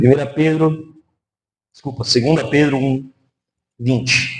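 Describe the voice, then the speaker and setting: Somewhat breathy, a man talks very slowly in a monotone, flat delivery. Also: fairly high pitch for a man. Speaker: pastor. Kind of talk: sermon.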